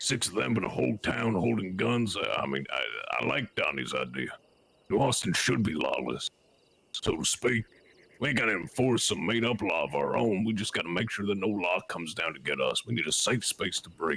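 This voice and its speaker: A man does a put-on character voice, raspy and fairly low. He moves at a fairly quick pace with lively intonation. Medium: game stream. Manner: folksy, deliberate.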